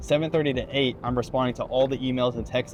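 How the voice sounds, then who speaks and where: Music plays in the background. The intonation stays fairly even. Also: man. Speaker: realtor. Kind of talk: casual vlog monologue. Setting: in a car. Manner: fast.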